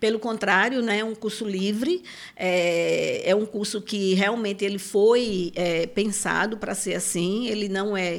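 A woman with a normal speaking voice talks at a fairly slow pace in a medium pitch, her intonation fairly even. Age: 50s. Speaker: psychoanalyst and circus school director. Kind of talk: interview conversation.

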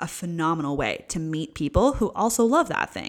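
A woman with a fairly low pitch and lively intonation speaks at a moderate pace on a very clean recording with a silent background. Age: 20s. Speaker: podcast host. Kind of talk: casual solo chat. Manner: relaxed, frequent fillers and laughs.

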